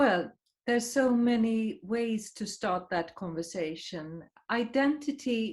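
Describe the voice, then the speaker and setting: A woman with a Swedish accent speaks at a fairly high pitch and a very slow pace, with very wide pitch swings. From Sweden, Stockholm. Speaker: writer and journalist. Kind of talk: interview. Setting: video call.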